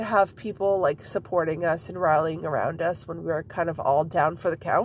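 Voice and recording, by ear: Her pitch low and her intonation fairly even, a woman speaks at a moderate pace.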